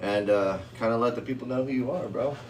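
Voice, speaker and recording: A man is speaking with audible room echo. Background noise is noticeable. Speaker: podcast host. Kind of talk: casual chat. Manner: loud.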